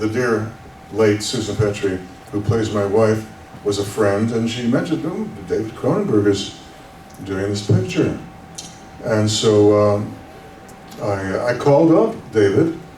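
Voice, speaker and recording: A man with a Canadian accent and fairly low pitch, ordinary pitch variation, a fairly slow pace and long, frequent pauses, with audible room echo and noticeable background noise. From Canada. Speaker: actor. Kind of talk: convention panel Q&A.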